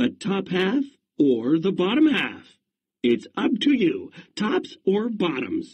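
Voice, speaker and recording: A man's put-on character voice, high-pitched, fairly slow, with very wide pitch swings. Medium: read story. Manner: cheerful, persuasive.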